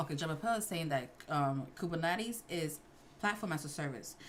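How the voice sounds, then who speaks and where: Over noticeable background noise, a woman with an American accent talks at a moderate pace, her fairly low voice carrying lively intonation. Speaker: livestream host, IT certification study. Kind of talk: casual livestream Q&A.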